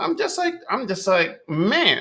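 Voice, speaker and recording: A man with a New York accent. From New York City (Bronx, Manhattan, Queens). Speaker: podcast host, rapper and spoken word artist. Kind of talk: casual monologue. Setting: livestream.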